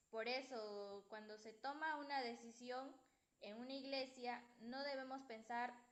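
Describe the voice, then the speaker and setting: Audible room echo surrounds a woman speaking at a fairly slow pace, high in pitch, with fairly even intonation. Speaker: student presenting in class. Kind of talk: class presentation. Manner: soft-spoken. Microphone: too quiet, no headphones.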